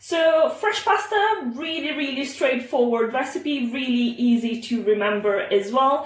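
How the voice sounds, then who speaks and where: A high-voiced woman with an Italian accent, very wide pitch swings, and hardly any pauses, against noticeable background noise. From Italy. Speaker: home cook. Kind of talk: cooking tutorial. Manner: casual with frequent fillers.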